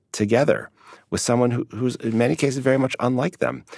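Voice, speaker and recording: An ordinary speaking voice with an American accent at a fairly quick pace, dry and close with no echo, in a very clean recording with a silent background. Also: man. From US Midwest, Chicago. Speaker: sociologist. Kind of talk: interview.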